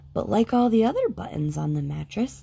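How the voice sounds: With vocal fry, a woman speaks in a dark, mellow tone.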